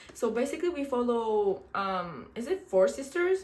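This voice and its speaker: A woman with a Quebec accent speaks in an animated tone. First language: French. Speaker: book vlogger. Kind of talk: casual book review vlog.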